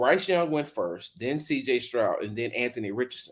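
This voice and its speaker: A man with an American accent and lively intonation at a moderate pace, on a very clean recording with a silent background. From Texas. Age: 50s. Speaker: sports journalist. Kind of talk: podcast interview. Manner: loud.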